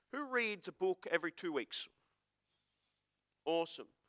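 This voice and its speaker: With an Australian accent, a man speaks in an animated, bright, sharp tone with ordinary pitch variation. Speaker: motivational speaker. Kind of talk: seminar talk to live audience. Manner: fast.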